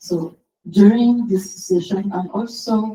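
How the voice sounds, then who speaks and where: A woman speaks with a French accent at a fairly slow pace, her tone dark and mellow. Her intonation is fairly even and somewhat breathy. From France, Paris. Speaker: SEO consultant and conference speaker. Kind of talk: conference talk.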